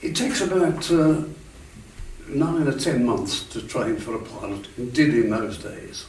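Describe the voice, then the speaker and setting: Amid audible room echo and noticeable background noise, a man with a fairly high pitch talks at a fairly slow pace with lively intonation. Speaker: war veteran. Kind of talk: interview. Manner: halting.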